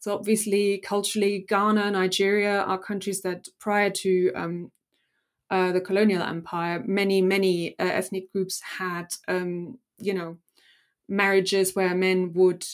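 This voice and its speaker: Speaking at a fairly slow pace, a woman with a German accent uses a medium pitch. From Germany. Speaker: historian and author. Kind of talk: academic interview.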